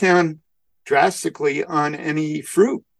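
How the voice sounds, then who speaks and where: A man with an American accent speaks at a very slow pace, his fairly high pitch moving with ordinary variation. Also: dry, close sound with no echo. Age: 60s. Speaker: community service club president. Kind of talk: interview. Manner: halting, with many fillers.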